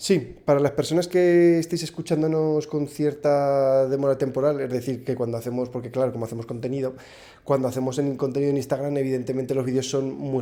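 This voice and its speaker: With a strong Aragonese accent, a man talks at a fairly quick pace in a dark, mellow tone, his medium pitch held to fairly even intonation. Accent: strong northern Spanish (Aragonese). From Spain, Zaragoza (Aragon). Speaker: podcast guest, content creator. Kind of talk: casual interview chat.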